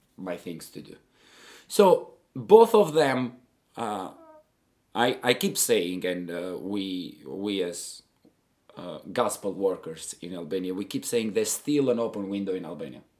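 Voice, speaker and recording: At a fairly slow pace, a man speaks with a fairly low pitch and ordinary pitch variation. His loudness swings widely, with long, frequent pauses. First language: Albanian. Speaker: missionary. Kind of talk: interview. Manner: halting, many repetitions.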